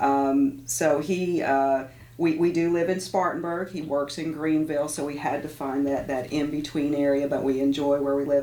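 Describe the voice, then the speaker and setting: A woman talks at a moderate pace in a very deep, low pitch. Her intonation is monotone and flat, and the room echo is audible. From Tennessee. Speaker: university president. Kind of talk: radio interview. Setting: radio studio. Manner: halting, repeats words.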